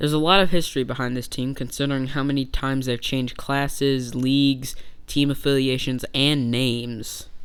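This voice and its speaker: Fairly quick, monotone, flat speech with audible room echo. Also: man, medium pitch for a man. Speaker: baseball YouTuber. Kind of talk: casual video commentary. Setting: bedroom. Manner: casual, joking.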